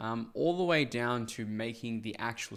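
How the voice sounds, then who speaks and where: A man with an Australian accent talks at a medium pitch. The recording is very clean, with a silent background. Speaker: sales coach. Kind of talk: tutorial commentary.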